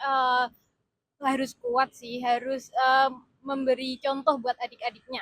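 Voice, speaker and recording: Speaking very slowly with a Yogyakarta accent, a woman holds a high, monotone, flat pitch in a dry, close sound with no echo. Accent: Javanese (Yogyakarta) accent, noticeable. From Indonesia, Yogyakarta (Bantul). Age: 20s. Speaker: government consultant. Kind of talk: street interview. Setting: outdoors near a train station. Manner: hesitant, many fillers; composed, authoritative.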